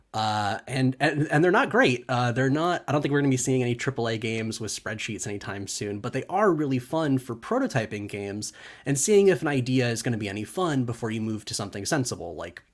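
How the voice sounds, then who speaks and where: This man talks at a very fast pace with hardly any pauses, his medium-pitched voice carrying lively intonation. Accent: American. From California. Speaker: conference speaker, game developer. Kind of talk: conference talk. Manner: casual with frequent fillers.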